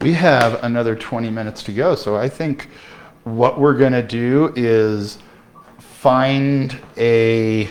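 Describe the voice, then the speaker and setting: Over noticeable background noise, a man talks in a medium pitch with ordinary pitch variation. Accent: Southern California. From US West, Los Angeles San Fernando Valley. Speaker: photography instructor. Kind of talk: live demonstration workshop. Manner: animated.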